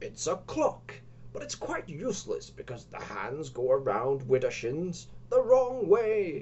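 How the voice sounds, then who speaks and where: Put-on character voice, fairly slowly paced, over clear background noise. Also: man, high pitch for a man. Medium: read story. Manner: offhand, disinterested.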